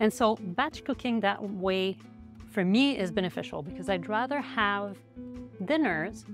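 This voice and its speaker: Over clear music in the background, a woman speaks at a moderate pace in a dry sound with no echo. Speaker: food blogger. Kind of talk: tutorial. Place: kitchen. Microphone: lapel.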